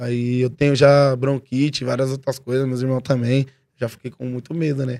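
A man speaks with a São Paulo accent at a moderate pace and medium pitch. His intonation is flat and monotone. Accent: São Paulo Portuguese (paulistano). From São Paulo, East Zone. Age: 20s. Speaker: rapper. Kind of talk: casual chat.

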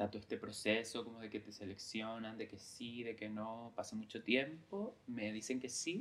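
A man talks at a moderate pace with hardly any pauses. His medium-pitched voice keeps a fairly even intonation. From Lanzarote, Canary Islands (San Bartolomé). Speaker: creative director, former actor. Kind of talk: interview conversation. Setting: recorded in Lanzarote. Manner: halting, many fillers and repetitions.

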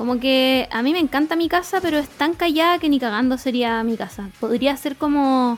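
With music in the background, a woman with a Chilean accent speaks at a high pitch with ordinary pitch variation and hardly any pauses. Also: moderate pace. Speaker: podcast co-host. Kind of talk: casual chat.

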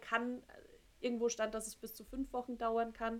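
A woman with a fairly high pitch speaks at a fairly slow pace in a monotone, flat intonation. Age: 30s. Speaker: podcast co-host. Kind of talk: casual chat.

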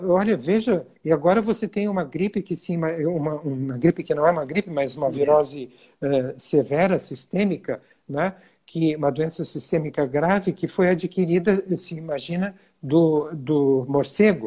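His voice has a dark, mellow tone and a fairly high pitch for a man. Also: ordinary pitch variation, moderate pace. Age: 60s. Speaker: physician. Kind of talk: interview. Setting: Instagram live video. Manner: hesitant, many fillers.

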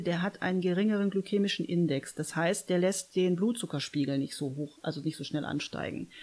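A woman in an unremarkable speaking voice talks at a moderate pace, her medium pitch showing ordinary pitch variation. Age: 30s. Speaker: nutrition consultant. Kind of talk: casual interview. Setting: studio, face to face.

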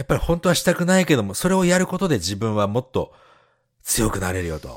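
A man at a very fast pace, with very wide pitch swings, in a very clean recording with a silent background. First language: Japanese. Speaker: podcast co-host. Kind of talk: casual chat.

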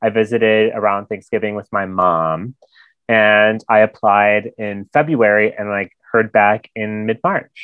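At a fairly slow pace, a man speaks in a plain, everyday voice with a fairly low pitch and fairly even intonation. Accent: American. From US Midwest, Michigan. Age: 20s. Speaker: recent graduate heading to grad school. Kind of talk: casual chat. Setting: video call.

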